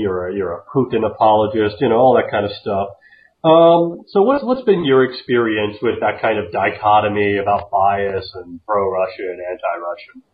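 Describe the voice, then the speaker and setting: This man has a plain, everyday voice with an American accent. He speaks at a moderate pace and medium pitch, with ordinary pitch variation. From US Southwest. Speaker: podcast host. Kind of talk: casual chat. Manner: casual.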